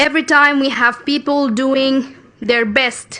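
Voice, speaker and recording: A woman with a Sudanese accent speaks at a high pitch. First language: Arabic. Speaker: youth climate activist. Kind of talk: conference speech. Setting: international conference stage. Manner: formal.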